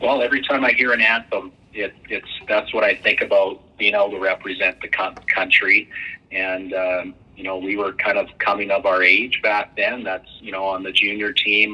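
Here a man speaks in a Canadian Prairies accent at a moderate pace. His loudness swings a lot. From Western Canada. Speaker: baseball team owner and former pro player. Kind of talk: interview. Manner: hesitant, many fillers.

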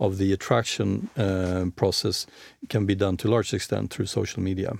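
A man with a slight Swedish accent speaks in a fairly low, dark and mellow voice on a very clean recording with a silent background. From Sweden. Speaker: managing director of an employer branding firm. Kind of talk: interview.

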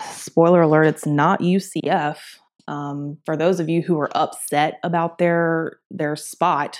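Very clean and silent in the background, the recording has a woman speaking at a very slow pace with a fairly low pitch. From US South, Augusta, Georgia. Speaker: sports podcast host. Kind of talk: casual sports talk monologue. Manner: casual, filler-heavy.

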